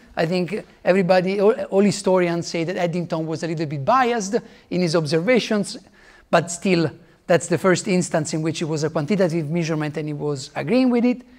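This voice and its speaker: With an Italian accent, a man talks at a fairly quick pace in a high voice with ordinary pitch variation. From Italy. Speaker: physicist. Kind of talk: lecture. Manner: halting.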